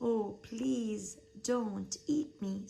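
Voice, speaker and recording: Using a put-on character voice, a woman speaks at a medium pitch. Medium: read story.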